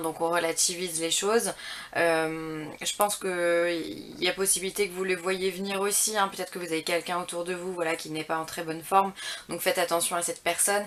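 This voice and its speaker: A woman speaks at a fairly quick pace with a fairly low pitch. Her intonation is monotone and flat. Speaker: tarot reader. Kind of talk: tarot reading guidance. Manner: halting, many hesitations.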